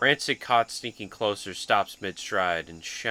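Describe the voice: Plain reading aloud, nothing more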